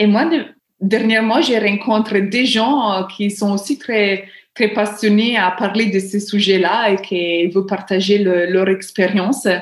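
This woman has an Italian accent and a medium pitch. She talks at a very slow pace, with fairly even intonation and very even loudness. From Italy, small village. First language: Italian (speaking French). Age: 30s. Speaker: book lover and amateur writer. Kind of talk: interview. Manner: halting, with repetitions.

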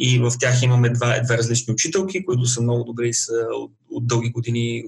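A man talks fairly quickly, his voice somewhat breathy and pitched in the medium range. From Bulgaria. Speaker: IT professional, immigrant. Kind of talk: interview.

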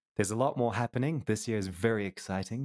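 Speaking at a fairly quick pace, a man has a slight New Zealand accent. The sound is dry and close with no echo, on a very clean recording with a silent background. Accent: slight New Zealand tinge. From Colombia, half New Zealander. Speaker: 3D artist. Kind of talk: casual interview.

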